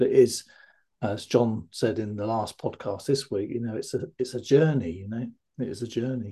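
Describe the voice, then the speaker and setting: A man's medium-pitched, somewhat breathy voice with a dark, mellow tone, ordinary pitch variation, a moderate pace and big swings in loudness. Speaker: fear of flying coach and podcast host. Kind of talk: casual interview.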